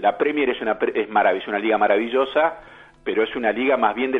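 This is a man with a plain, everyday voice and a medium pitch. He talks at a fairly quick pace with ordinary pitch variation. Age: 50s. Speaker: journalist and social psychologist. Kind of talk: radio interview.

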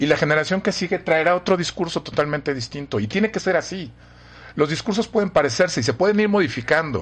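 Against a quiet background, a man speaks very fast in a high pitch. His intonation is lively. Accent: Mexican. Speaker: professor. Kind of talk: casual chat.

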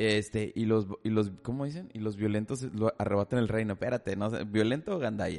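Speech runs at a fairly quick pace with hardly any pauses and ordinary pitch variation. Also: man, fairly low pitch for a man. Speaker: podcast host. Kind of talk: casual chat. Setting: studio. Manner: talkative.

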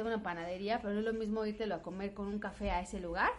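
A woman with a fairly high pitch talks very fast while noticeable background noise plays behind her. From Mexico, Puebla. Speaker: podcast co-host. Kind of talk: casual chat.

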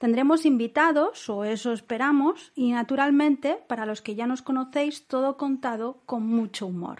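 Talking at a moderate pace with hardly any pauses, a woman uses a high pitch and ordinary pitch variation. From Catalonia, Spain. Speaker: podcast host and Spanish tutor. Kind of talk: lecture; casual chat.

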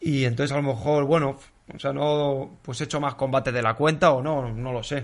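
A man with a plain, everyday voice speaks at a fairly quick pace and fairly high pitch, with fairly even intonation. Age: 20s. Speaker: professional MMA fighter. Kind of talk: panel discussion.

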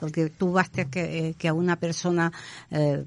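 Very slow speech sits against a quiet background. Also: woman. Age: 70s. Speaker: psychic medium and healer. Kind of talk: interview. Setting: studio.

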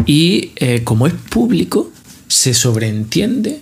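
The man's voice sits at a medium pitch. It sounds somewhat breathy. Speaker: podcast co-host, bartender. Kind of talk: casual chat.

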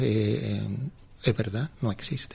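A man talks at a very slow pace, with a slight southern Spanish accent. His pitch sits fairly low. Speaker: media executive. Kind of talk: radio interview.

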